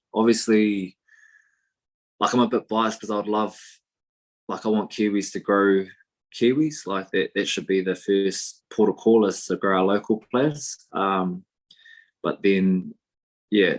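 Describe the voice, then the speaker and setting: With a New Zealand accent, a man speaks at a fairly slow pace and fairly low pitch, with fairly even intonation and long, frequent pauses, on a very clean recording with a silent background. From New Zealand, East Coast. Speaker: professional rugby player. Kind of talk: podcast interview. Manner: casual, many fillers.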